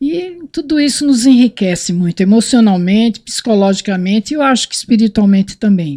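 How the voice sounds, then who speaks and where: Somewhat breathy with a dark, mellow tone, the voice moves at a fairly quick pace with hardly any pauses and very wide pitch swings, in a dry, close sound with no echo on a very clean recording with a silent background. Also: woman, fairly high pitch for a woman. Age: 60s. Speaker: motorcyclist. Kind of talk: casual chat.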